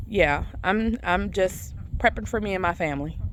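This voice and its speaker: A woman speaks with vocal fry at a fairly slow pace. Her pitch is fairly low. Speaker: gardening vlogger. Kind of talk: casual garden tour vlog. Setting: outdoors in garden.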